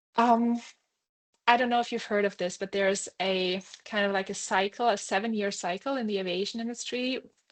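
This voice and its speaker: A woman with a non-native accent speaks at a fairly quick pace and a medium pitch. Her intonation is fairly even. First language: not English. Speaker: airline pilot. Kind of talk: webinar Q&A. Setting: online webinar. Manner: halting, many fillers.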